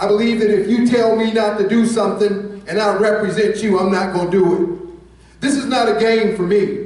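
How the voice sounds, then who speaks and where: In an American accent, a man with a high pitch speaks at a moderate pace amid audible room echo. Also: hardly any pauses. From United States. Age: 60s. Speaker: political candidate. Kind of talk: campaign speech. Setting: candidate forum with audience. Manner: relaxed; animated.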